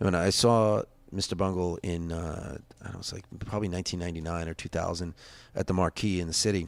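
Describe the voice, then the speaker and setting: Someone with an American accent speaks very fast. The background is silent and the recording very clean. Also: man, very deep, low pitch for a man. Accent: Long Island accent, slight tonight. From Long Island, New York. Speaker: punk musician. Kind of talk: casual interview chat. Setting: closed bar. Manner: animated, fast with many repetitions.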